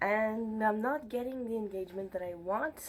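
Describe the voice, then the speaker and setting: This woman speaks with a slight French accent. Her pitch is medium, with ordinary variation. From Montreal, Quebec. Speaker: book vlogger. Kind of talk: casual chat. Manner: animated.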